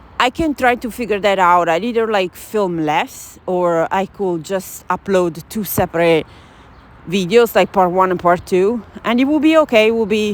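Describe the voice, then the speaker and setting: With lively intonation, a woman talks in an Italian accent at a moderate pace. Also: medium pitch for a woman. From Italy. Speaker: journaling vlogger. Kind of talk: casual chat. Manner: hesitant, with fillers.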